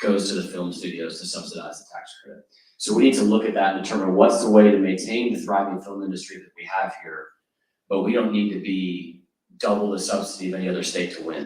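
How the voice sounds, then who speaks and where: This is a man's voice. His pitch sits fairly low. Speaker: state legislator. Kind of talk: panel discussion. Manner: fast.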